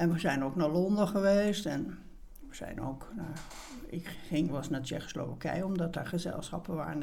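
The pitch varies in an ordinary way. Room echo is audible. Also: woman. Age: 70s. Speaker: retired theatre producer. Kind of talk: interview.

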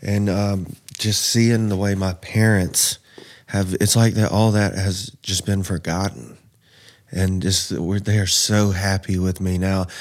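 On a very clean recording with a silent background, a man with a Southern US accent speaks fairly slowly in a fairly low pitch with fairly even intonation. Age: 30s. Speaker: man in addiction recovery. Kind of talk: testimony.

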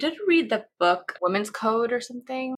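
This woman has an American accent and a bright, sharp tone. She talks at a moderate pace. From New York. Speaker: expectant mother, designer. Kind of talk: interview.

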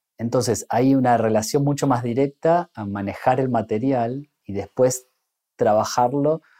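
A man speaks at medium pitch with ordinary pitch variation. His tone is dark and mellow, and the sound is dry and close with no echo. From Argentina, Bariloche. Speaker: illustrator and artist. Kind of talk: casual interview conversation. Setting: art gallery.

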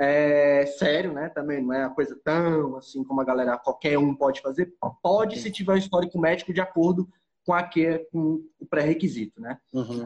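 At a moderate pace, a man speaks in a normal speaking voice with a fairly high pitch and ordinary pitch variation. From Brazil, Goiânia (Goiás). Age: 20s. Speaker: scuba diving instructor. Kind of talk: casual interview chat. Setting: Instagram live stream.

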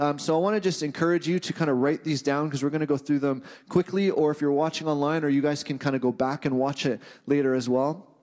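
Talking at a very fast pace with an animated tone, a man with a Canadian accent holds a fairly high pitch and very even loudness. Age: 20s. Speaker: pastor. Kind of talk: sermon. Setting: church.

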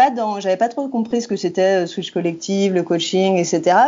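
Her intonation is lively. A woman speaks at medium pitch. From France, Rhône area north of Lyon. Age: 30s. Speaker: communications and advocacy professional. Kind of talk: podcast interview. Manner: hesitant, many fillers.

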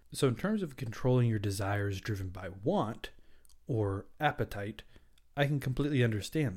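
A man with an American accent, medium-pitched and somewhat breathy, at a moderate pace with lively intonation and big swings in loudness. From US South. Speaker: dietitian and podcast host. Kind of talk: solo educational podcast.

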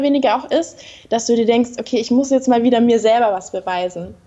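A woman talks in a high pitch. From Bavaria, southern Germany. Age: 20s. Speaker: model and entrepreneur. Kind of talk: interview.

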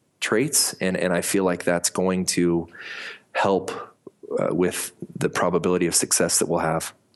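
This man has an American accent. His voice is very deep and low in pitch. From US Mountain West (Colorado and Montana). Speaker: company founder and CEO. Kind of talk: interview.

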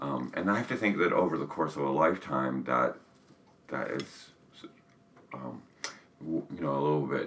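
Someone talks at a moderate pace with an American accent and ordinary pitch variation. Long, frequent pauses break up the speech, and noticeable background noise runs underneath. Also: man, very deep, low pitch for a man. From US South. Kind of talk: casual conversation.

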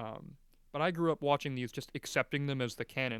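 A man's ordinary speaking voice at medium pitch, fairly quick in pace with fairly even intonation, in a dry, close sound with no echo. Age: 20s. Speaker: podcast host. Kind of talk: casual chat.

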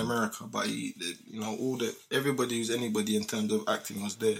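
A man speaks with a London accent at a very fast pace. His intonation is monotone and flat, with vocal fry. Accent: London multicultural English. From UK. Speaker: podcast guest, host's friend. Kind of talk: casual chat.

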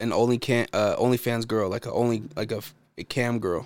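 This man has an unremarkable speaking voice with an American accent, a medium pitch and a moderate pace. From United States. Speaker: returning former podcast co-host. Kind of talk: casual chat.

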